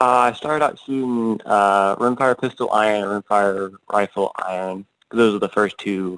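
A plain, everyday voice with an American accent moves at a moderate pace with fairly even intonation and hardly any pauses, in a dry, close sound with no echo. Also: man, quiet background. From Georgia, US South. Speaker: competitive shooter. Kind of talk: casual interview.

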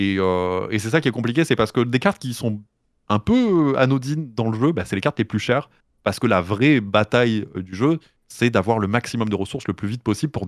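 In a normal speaking voice, a man talks at a fairly quick pace with medium pitch and ordinary pitch variation, the recording very clean with a silent background and a dry, close sound with no echo. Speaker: streamer and podcaster. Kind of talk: casual chat.

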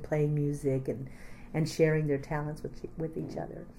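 Amid audible room echo, a woman with an American accent speaks in a very deep, low, dark and mellow voice with fairly even intonation. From Texas, Austin area. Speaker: community arts organizer. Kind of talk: oral history interview.

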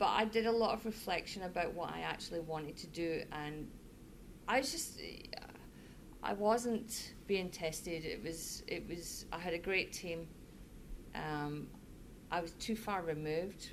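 With a Scottish accent, a woman talks fairly slowly in a fairly low voice, using ordinary pitch variation and long, frequent pauses. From Scotland (Fife). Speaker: managing director. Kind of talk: casual interview.

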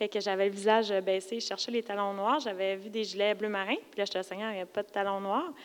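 This is a normal speaking voice. The pace is fairly quick. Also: woman. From Quebec, Lac-Saint-Jean. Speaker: churchgoer. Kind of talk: testimony. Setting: church.

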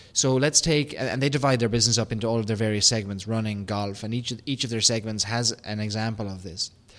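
A very fast man with an Irish accent, medium in pitch, fairly even in intonation, in a very clean recording with a silent background. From Ireland. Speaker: podcast host. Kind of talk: business podcast discussion.

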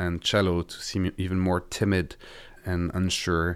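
A very deep, low-pitched man with a French accent, on a very clean recording with a silent background. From France. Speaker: violist. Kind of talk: interview.

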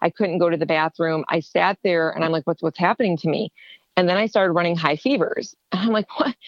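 In a normal speaking voice, a woman talks at a fairly quick pace. Her pitch is fairly low, with ordinary pitch variation. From Ohio, US. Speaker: HSCT patient and therapist. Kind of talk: personal testimony in interview.

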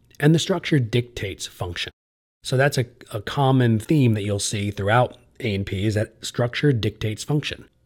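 In a very clean recording with a silent background, a man with an American accent talks at a moderate pace, his medium-pitched, somewhat breathy voice showing ordinary pitch variation. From central New Jersey. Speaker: college professor and podcast host. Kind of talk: educational lecture podcast.

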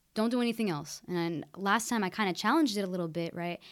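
The recording is very clean, with a silent background. A woman with an American accent talks at a very fast pace with lively intonation. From Oregon, US (Keizer). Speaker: student. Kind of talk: casual chat.

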